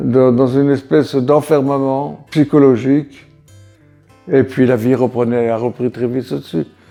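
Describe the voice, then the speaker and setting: Music plays in the background as a man speaks at a fairly slow pace. His pitch is medium, with ordinary pitch variation. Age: 80s+. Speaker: war veteran. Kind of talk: testimony. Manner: halting.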